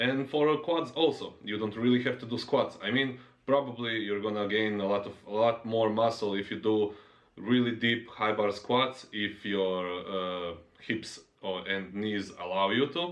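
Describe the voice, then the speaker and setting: Speaking at a fairly slow pace, a man has a non-native accent. His voice sits at a medium pitch with ordinary pitch variation. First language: not English. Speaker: fitness YouTuber, powerlifter. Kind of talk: casual monologue vlog. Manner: halting, many fillers.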